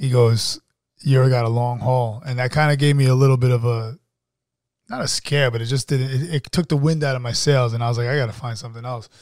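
Speaking very fast with a New York accent, a man keeps a medium pitch and fairly even intonation. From New York City (Queens, Brooklyn). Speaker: actor and filmmaker. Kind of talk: casual chat.

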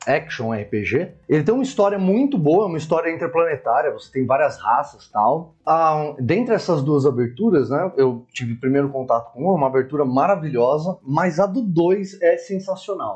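A man's high-pitched voice moves through very wide pitch swings and big shifts in loudness. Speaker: podcast co-host. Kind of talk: casual chat.

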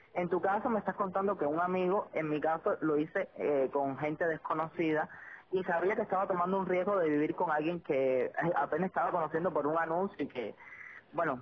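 A woman's plain, everyday voice, fairly low in pitch with ordinary variation, at a fairly quick pace. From Cuba. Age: 20s. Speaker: podcast host. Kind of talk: casual chat. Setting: phone call.

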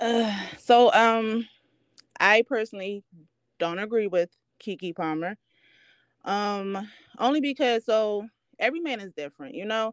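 On a very clean, silent recording with a dry, close sound and no echo, a woman with a fairly high voice speaks fairly slowly, her intonation lively, her loudness swinging widely, and her pauses long and frequent. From Baltimore, Maryland, US. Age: 30s. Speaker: stay-at-home mom, podcast guest. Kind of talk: casual interview chat.

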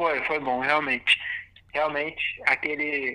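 Fairly slow speech from a man, with noticeable noise in the background. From Brazil, Francisco Morato (São Paulo). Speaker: musician. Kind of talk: casual chat. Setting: phone call.

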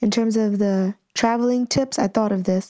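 Her pitch is fairly high for a woman, in an ordinary speaking voice. The intonation stays fairly even. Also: dry, close sound with no echo. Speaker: fitness business owner. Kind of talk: casual chat.

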